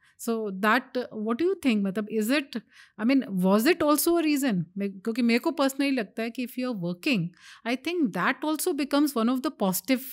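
Here a woman speaks at a high pitch and a moderate pace. The recording is very clean with a silent background. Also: lively intonation. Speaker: oncologist. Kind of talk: interview.

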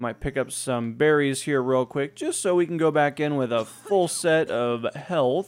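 Lively intonation runs through an ordinary speaking voice at a moderate pace. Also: man. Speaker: gaming YouTuber. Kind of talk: let's play commentary. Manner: casual.

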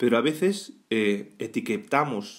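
A man in a Spanish accent with very wide pitch swings. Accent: Peninsular Spanish. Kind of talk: weekday Mass homily, exhorting the congregation directly on faith and healing. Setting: church, during Mass. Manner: fervent, pleading second-person appeals with rhetorical questions; conversational and halting, frequent false starts and tag questions.

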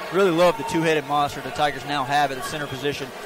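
Fairly high male voice with ordinary pitch variation, a dry sound with no echo, and noticeable background noise. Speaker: color commentator. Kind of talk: live sports commentary. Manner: conversational, explanatory analyst. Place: stadium. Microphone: headset.

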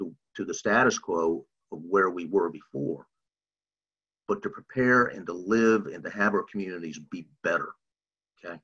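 The man speaks at a moderate speed with a quiet background behind him. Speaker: nonprofit staff and presenter. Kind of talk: webinar presentation. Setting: online webinar. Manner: halting, many repetitions. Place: home room. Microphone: video call.

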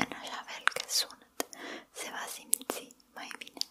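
Someone is whispering at a very slow pace, soft-spoken throughout. Noticeable background noise sits behind the voice. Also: woman. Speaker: ASMR creator. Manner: soft whispered ASMR voice. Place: home room. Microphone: studio mic.

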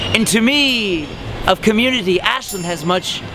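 A man's high-pitched voice with ordinary pitch variation, dry with no echo, over noticeable background noise. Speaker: costumed parade-goer answering a street interview. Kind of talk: rhyming street interview answer. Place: street.

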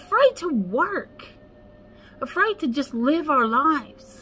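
A woman speaks fairly slowly at a high pitch. Her pitch swings very widely. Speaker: spiritual life coach. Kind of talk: casual vlog chat. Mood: earnest, encouraging. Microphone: phone near.

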